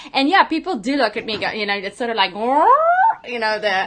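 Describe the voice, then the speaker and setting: A woman speaks in a bright, sharp tone with lively intonation over a quiet background. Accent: non-native. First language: not English. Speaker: business coach and show host. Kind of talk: interview. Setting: live stream video call.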